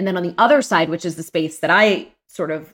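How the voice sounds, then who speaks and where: A woman at medium pitch with ordinary pitch variation has a plain, everyday voice. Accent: American. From Pittsburgh, Pennsylvania. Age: 40s. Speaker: journalist and podcast host. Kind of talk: casual interview chat.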